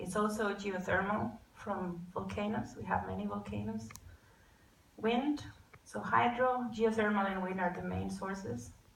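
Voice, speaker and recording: Amid audible room echo and noticeable background noise, a woman keeps a moderate pace. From Costa Rica. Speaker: climate and e-mobility advocate. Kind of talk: conference talk.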